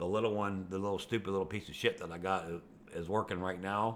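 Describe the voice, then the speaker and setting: A man speaks fairly quickly in a fairly low voice with fairly even intonation. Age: 60s. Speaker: video blogger. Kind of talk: casual monologue. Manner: rambling, conversational with fillers.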